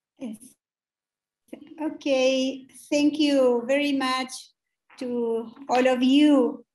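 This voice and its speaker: Speaking in a Chilean accent, a woman talks very slowly in a high pitch, flat and monotone, with long, frequent pauses. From Chile, Mapuche community. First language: Mapudungun. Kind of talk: formal panel speech. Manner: halting.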